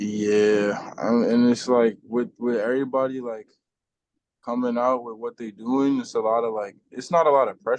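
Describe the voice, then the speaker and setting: In a New York accent, a man talks at medium pitch and a moderate pace with fairly even intonation. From Brooklyn, New York (Bed-Stuy). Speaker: rapper. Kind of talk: casual chat.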